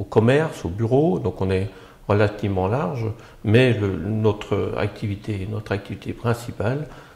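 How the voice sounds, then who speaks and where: A man with a slight Belgian accent speaks in a fairly low voice, his pitch varying in an ordinary way. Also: fairly slow pace. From Belgium, Brussels. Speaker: architect, agency founder. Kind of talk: interview. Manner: halting, many hesitations.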